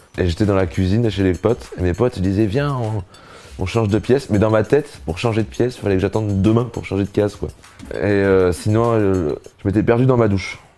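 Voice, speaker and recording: Over background music, a man speaks fairly quickly at a fairly low pitch, with ordinary pitch variation. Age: 30s. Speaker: comedian. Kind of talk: casual interview.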